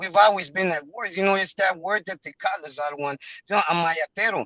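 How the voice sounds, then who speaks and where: In a strong Spanish accent, a man with a high pitch raises and projects his voice, using ordinary pitch variation in a dry, close recording with no echo. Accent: heavy Spanish. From Mexico or Mexican-American community. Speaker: member of a religious group asking a question. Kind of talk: testimony in an online class. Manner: halting, many fillers.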